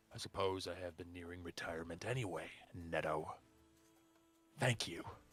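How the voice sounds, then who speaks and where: A man puts on a character voice with a very deep, low pitch at a moderate pace, faint music playing in the background. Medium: actual play. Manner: polite, measured.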